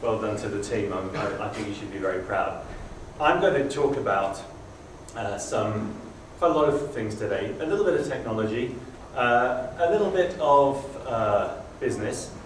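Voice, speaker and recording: Amid noticeable background noise and audible room echo, a man speaks at a moderate pace in a medium pitch with very wide pitch swings. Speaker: conference speaker, former hotel IT executive. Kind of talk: conference presentation.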